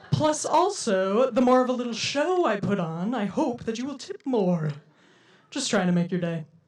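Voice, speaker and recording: Over noticeable background noise, a woman with a fairly high voice speaks at a moderate pace, her pitch swinging very widely. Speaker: comedian. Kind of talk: stand-up comedy. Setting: live comedy venue.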